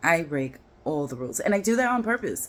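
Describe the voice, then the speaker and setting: A woman with a New York accent, medium-pitched and animated, with very wide pitch swings. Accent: New York twang. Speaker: dating and relationship vlogger. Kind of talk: casual vlog monologue. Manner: animated, conversational with fillers.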